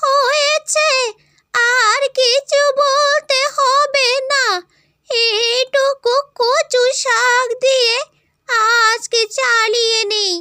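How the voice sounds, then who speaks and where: A cartoonish character voice from a woman, extremely high-pitched, very slow, with fairly even intonation. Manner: grumbling, insistent.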